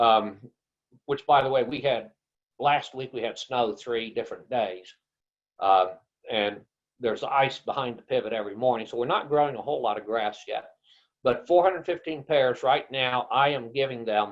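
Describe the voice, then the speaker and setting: Using a normal speaking voice with an American accent, a man at medium pitch talks at a moderate pace with ordinary pitch variation. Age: 60s. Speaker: rancher and grazing consultant. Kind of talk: webinar presentation. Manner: casual conversational.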